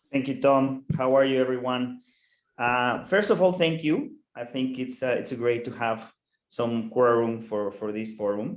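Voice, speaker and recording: A man speaks fairly slowly with a Mexican accent. His voice sits at a medium pitch with ordinary variation. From Mexico. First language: Spanish. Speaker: co-host. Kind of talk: online networking session. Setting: video call. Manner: halting, repeats words.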